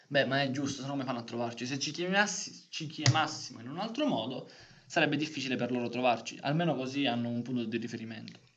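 Rapid-fire talking in an echoing room, with clear noise in the background. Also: man, medium pitch for a man, ordinary pitch variation. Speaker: podcast co-host. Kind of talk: casual chat.

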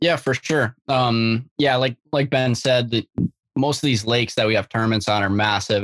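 Here a man talks in a normal speaking voice at a medium pitch and a moderate pace. His intonation is fairly even. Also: dry, close sound with no echo. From Minnesota, Grand Rapids. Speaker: college bass angler. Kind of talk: casual chat.

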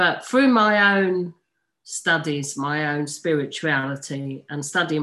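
Very slow speech with ordinary pitch variation in a very clean recording with a silent background. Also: woman. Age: 50s. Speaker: mental health nurse and suicide prevention advocate. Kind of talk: interview.

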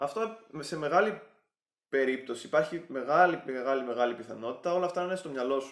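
A man with a plain, everyday voice, fairly high pitch, and lively intonation. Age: 20s. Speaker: YouTuber giving relationship advice. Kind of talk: vlog monologue.

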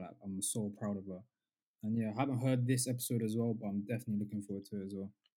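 This voice has a dark, mellow tone and fairly even intonation. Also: man. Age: 20s. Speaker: podcast co-host. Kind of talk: casual chat.

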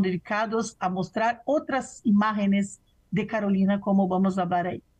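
Somewhat breathy and medium in pitch, a woman speaks at a fairly slow pace with fairly even intonation. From Brazil. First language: Portuguese (speaking Spanish). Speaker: professor and researcher. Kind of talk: interview conversation.

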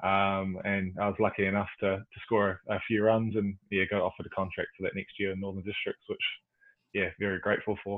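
Fairly low in pitch, a man talks at a fairly quick pace with monotone, flat intonation. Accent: New Zealand. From New Zealand. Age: 20s. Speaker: professional cricketer. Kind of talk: casual chat.

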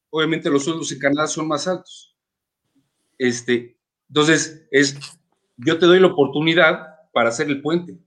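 A man with a fairly high pitch talks at a moderate pace with long, frequent pauses. His intonation is fairly even, but his loudness swings widely. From Mexico City. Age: 30s. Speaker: sports team owner. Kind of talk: interview.

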